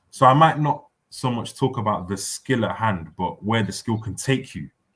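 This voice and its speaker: At a moderate pace, a man speaks at medium pitch with lively intonation. It is a normal speaking voice. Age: 20s. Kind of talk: casual chat.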